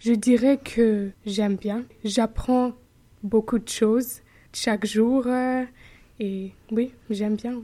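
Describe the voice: Slow delivery and fairly even intonation go with a dark, mellow tone. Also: woman, fairly high pitch for a woman.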